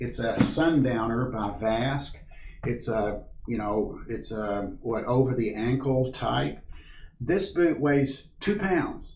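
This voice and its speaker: Speaking very slowly, a man with an American accent sounds somewhat breathy at medium pitch. Audible room echo surrounds his voice. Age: 60s. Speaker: backpacking instructor. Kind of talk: tutorial. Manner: casual, halting with fillers.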